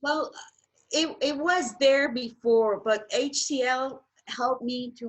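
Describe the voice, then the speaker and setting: At a very slow pace and with ordinary pitch variation, the speaker talks with a French accent. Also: woman. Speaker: teacher and home cook. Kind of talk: casual interview. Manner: halting.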